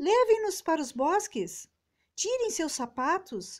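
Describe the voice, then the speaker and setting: A woman talks at a fairly slow pace while her pitch swings very widely up and down. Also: very clean recording, silent background. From southern Brazil. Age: 50s. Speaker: audiobook reader. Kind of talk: audiobook reading.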